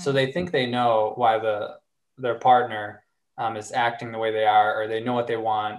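A man with an American accent and a plain, everyday voice speaks at medium pitch and a moderate pace, with ordinary pitch variation. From US South, Arkansas. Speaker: relationship coach. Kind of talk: casual interview conversation.

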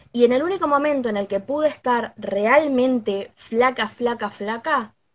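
A woman with a normal speaking voice, fairly slow pace and ordinary pitch variation. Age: 20s. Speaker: knitting content creator. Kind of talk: live stream interview.

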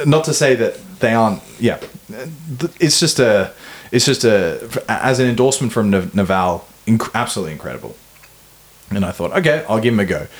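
Speaking at a fairly quick pace in an Australian accent, this voice leaves long, frequent pauses. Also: man, medium pitch for a man, lively intonation. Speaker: podcast host. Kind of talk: casual chat.

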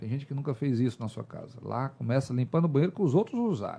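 A man speaks with a dark, mellow tone. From Brazil, Teresina, Piauí. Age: 40s. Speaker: military police officer and politician. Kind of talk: interview.

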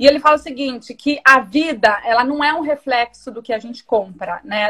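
Bright and sharp in tone, a woman's high-pitched voice moves at a moderate pace with lively intonation. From interior of São Paulo state, Brazil. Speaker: fashion retail executive. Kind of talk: live-streamed interview.

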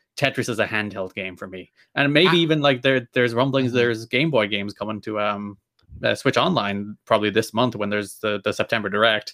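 On a very clean recording with a silent background, a man with a slight Irish accent talks very fast in a bright, sharp, medium-pitched voice with ordinary pitch variation. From Ireland. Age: 20s. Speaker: podcast guest.

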